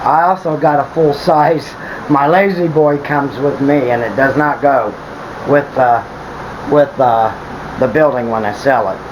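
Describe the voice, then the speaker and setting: Over noticeable background noise, a man with a fairly high voice speaks at a fairly slow pace, leaving long, frequent pauses, with ordinary pitch variation. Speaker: tiny home builder. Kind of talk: video walkthrough tour. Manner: halting, stumbles over words; casual, conversational.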